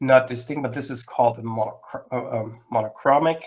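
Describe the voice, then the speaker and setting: At a moderate pace, a man with a non-native accent talks at a medium pitch with ordinary pitch variation. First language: not English. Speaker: software webinar presenter. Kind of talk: live webinar presentation. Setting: live online webinar. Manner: hesitant, many fillers.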